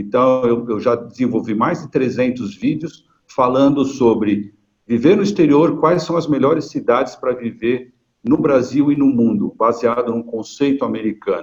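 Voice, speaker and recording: This man has an ordinary speaking voice, with a medium pitch, ordinary pitch variation and a moderate pace. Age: 60s. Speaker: retired marketing executive and video channel creator. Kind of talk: webinar panel talk.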